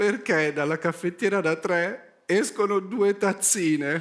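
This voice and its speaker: Crowd noise sits behind a man speaking at a high pitch and a very slow pace. His tone is deadpan. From Milan, Italy. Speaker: stand-up comedian. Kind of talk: comedy monologue on talent show stage. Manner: slow, sighing, deadpan; extremely calm, unhurried. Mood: anxious, sighing, deadpan. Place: stage. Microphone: headset.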